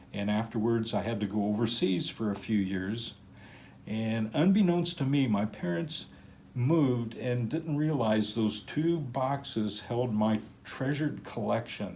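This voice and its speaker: This man has a medium pitch, a dark, mellow tone and lively intonation. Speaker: crystal collector, channel owner. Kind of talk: personal life story narration. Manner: casual with filler words.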